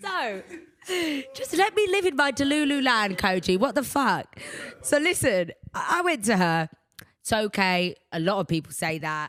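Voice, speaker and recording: A woman talks at a moderate pace and a fairly high pitch, with very wide pitch swings. Her speech has long, frequent pauses. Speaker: podcast host. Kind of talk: casual chat. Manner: loud; animated.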